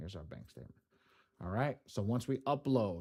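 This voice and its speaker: A man with a New York accent talks with lively intonation. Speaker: credit repair software trainer. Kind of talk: live tutorial. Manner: fast; casual.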